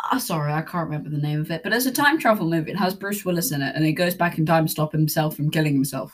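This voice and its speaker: A woman with a fairly low pitch talks at a very fast pace, with hardly any pauses. Her voice is somewhat breathy, with ordinary pitch variation. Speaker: podcast co-host. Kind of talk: casual chat about spy movies. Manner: quiet, faces away from microphone.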